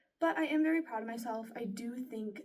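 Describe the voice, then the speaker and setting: At a moderate pace, a woman speaks at a fairly high pitch in a dark, mellow, somewhat breathy tone with ordinary pitch variation. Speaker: student voice performer. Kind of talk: spoken self-reflection. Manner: conversational.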